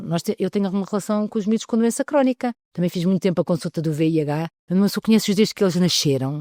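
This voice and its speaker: A woman's dark, mellow voice at a very fast pace with lively intonation, in a very clean recording with a silent background and a dry, close sound with no echo. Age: 60s. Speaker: pediatrician. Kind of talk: interview. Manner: halting.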